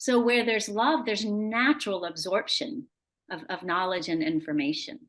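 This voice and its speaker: Over a quiet background, the speaker talks at a moderate pace with very wide pitch swings. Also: woman. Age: 60s. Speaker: spiritual guide and homeschooling mother. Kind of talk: interview conversation. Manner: halting, many fillers and repeats.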